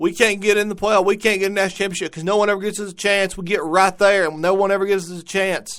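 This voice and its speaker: The speech runs very fast in a monotone, flat intonation. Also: man, high pitch for a man. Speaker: sports podcast host. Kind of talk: casual commentary monologue. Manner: halting, repeats words.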